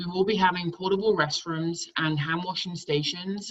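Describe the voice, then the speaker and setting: A woman with a British accent speaks at a fairly slow pace. Her pitch is fairly low. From England. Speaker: camp director. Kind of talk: online town hall presentation.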